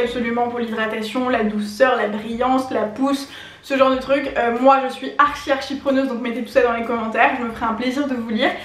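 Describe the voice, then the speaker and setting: Amid noticeable background noise and audible room echo, a woman with a high pitch speaks fairly quickly in a monotone, flat intonation. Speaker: beauty YouTuber. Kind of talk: casual vlog talk to camera. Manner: fast.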